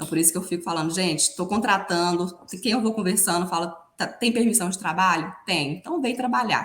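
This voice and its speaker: In a Minas Gerais accent, a woman talks at a fairly quick pace with ordinary pitch variation. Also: medium pitch for a woman. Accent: mineiro. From Minas Gerais, Brazil. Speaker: financial consultant. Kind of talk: podcast interview.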